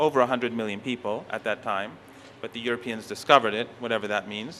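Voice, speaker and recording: With a Persian accent, a man at medium pitch talks at a very fast pace in a bright, sharp tone with fairly even intonation. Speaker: professor. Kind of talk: conference lecture. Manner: halting, with frequent self-corrections.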